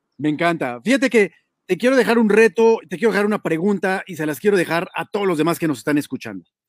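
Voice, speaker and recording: Very fast speech in a Mexican accent, lively intonation, and dry, close sound with no echo. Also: man, high pitch for a man. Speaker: online show host. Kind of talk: interview.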